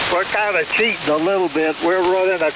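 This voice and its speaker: Over noticeable background noise, a man speaks at a high pitch in a monotone, flat intonation. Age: 80s+. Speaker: ham radio operator. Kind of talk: amateur radio net. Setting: radio transmission.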